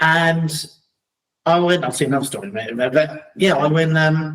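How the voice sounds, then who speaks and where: This man has a London accent and a fairly high pitch. His pitch variation is ordinary. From London, England (Battersea), later Crawley. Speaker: entrepreneur and speaker. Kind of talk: casual conversation.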